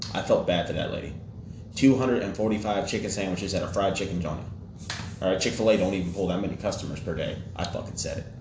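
A man talks in an unremarkable speaking voice at a fairly low pitch. His pace is fairly quick and his intonation fairly even. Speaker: podcast host. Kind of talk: casual banter podcast chat. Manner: joking, sarcastic.

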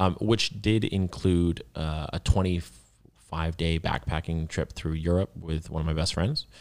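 A man talks with a very deep, low pitch and fairly even intonation on a very clean recording with a silent background. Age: 20s. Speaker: entrepreneur. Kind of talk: interview. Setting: studio. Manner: articulate.

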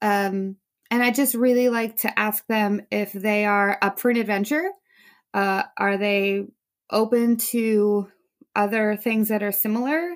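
A woman's fairly high voice in an American accent, a normal speaking voice, at a fairly slow pace with very even loudness and fairly even intonation, on a very clean recording with a silent background. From New Jersey. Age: 30s. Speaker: sommelier and social media creator. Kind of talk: casual chat.

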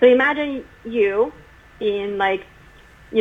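Over noticeable background noise, a woman with a Chinese accent speaks at a fairly high pitch. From China until age 12, then US. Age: 20s. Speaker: university residential life professional. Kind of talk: interview. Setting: remote call.

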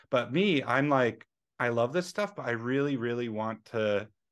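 At a moderate pace and with ordinary pitch variation, a man with an unremarkable speaking voice talks over a quiet background. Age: 30s. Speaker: software developer. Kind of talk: casual chat. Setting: video call.

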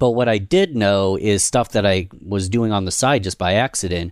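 At a moderate pace, a man speaks at a fairly low pitch with ordinary variation, captured in a very clean recording with a silent background. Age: 30s. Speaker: podcast host and marketer. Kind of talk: casual chat.

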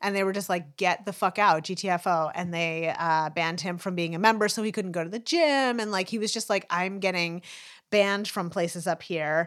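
An unremarkable speaking voice with ordinary pitch variation, at a fairly quick pace, on a very clean recording with a silent background. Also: woman, medium pitch for a woman. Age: 40s. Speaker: podcast co-host and law student. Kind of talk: casual chat.

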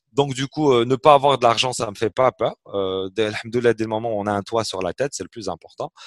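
A man with a plain, everyday voice talks at medium pitch and a fairly quick pace with hardly any pauses, recorded dry and close with no echo against a silent background in a very clean recording. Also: ordinary pitch variation. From Algeria, Algiers. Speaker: entrepreneur. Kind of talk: interview.

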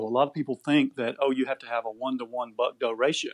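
This man has an unremarkable speaking voice at a medium pitch. He talks at a fairly quick pace over a quiet background. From Georgia, US South. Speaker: wildlife conservation organization spokesperson. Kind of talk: interview.

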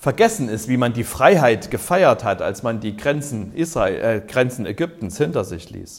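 With a somewhat breathy, fairly high voice, a man talks at a fairly slow pace while his pitch swings very widely. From East Germany. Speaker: pastor. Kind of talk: sermon. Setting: care home cafeteria.

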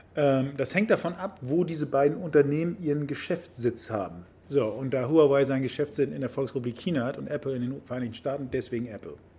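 Fairly quick, somewhat breathy speech from a man with a dark, mellow tone, ordinary pitch variation and hardly any pauses. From Hamburg, Germany (Harburg/Wilhelmsburg). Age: 50s. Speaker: member of parliament. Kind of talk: casual interview. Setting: sports club.

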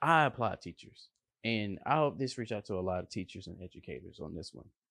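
A man talks at a fairly quick pace in an unremarkable speaking voice. The sound is dry and close, with no echo. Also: big swings in loudness, quiet background. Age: 30s. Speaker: motivational podcast host. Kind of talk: motivational monologue. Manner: casual.

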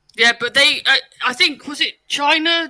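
A man's raised, projected voice, bright and sharp, at a moderate pace with ordinary pitch variation. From West Country England. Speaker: podcast co-host and editor. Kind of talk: casual chat.

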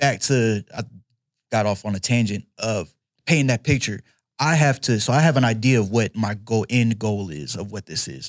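A man with a medium pitch and an ordinary speaking voice at a moderate pace, lively intonation, a dry, close sound with no echo, and a very clean recording with a silent background. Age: 20s. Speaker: MMA fighter. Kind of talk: casual chat.

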